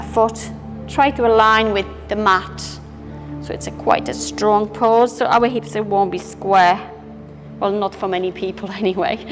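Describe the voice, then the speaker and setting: Over music in the background, a woman speaks in a calm tone at a fairly slow pace, with long, frequent pauses. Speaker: yoga instructor. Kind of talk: guided yoga class instruction. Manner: calm, instructional.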